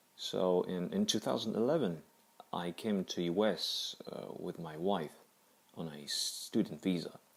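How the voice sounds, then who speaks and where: The pace here is fairly slow. The speaker, a man, has a non-native accent. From Kazakhstan. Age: 30s. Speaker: cancer survivor. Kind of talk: personal testimony. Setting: audio-only recording. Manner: halting.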